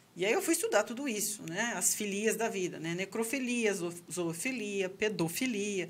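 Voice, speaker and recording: At a moderate pace with hardly any pauses, a woman speaks at a medium pitch with ordinary pitch variation. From Brazil. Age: 40s. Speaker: sexologist and psychology professor; psychology professor. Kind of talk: casual chat. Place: studio. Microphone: studio mic.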